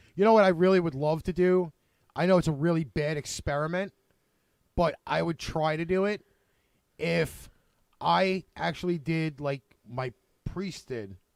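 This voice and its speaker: A fairly high-pitched man with a strong Brooklyn accent, ordinary pitch variation, a moderate pace and long, frequent pauses, in a dry, close, echo-free, very clean recording with a silent background. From Brooklyn, New York. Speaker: online show host. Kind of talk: casual chat.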